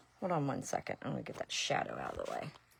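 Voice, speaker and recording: Over a silent background in a very clean recording, a woman speaks with an Ohio accent. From Ohio, US Midwest. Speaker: resin and glass artist. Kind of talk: live craft demonstration. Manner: casual, chatty.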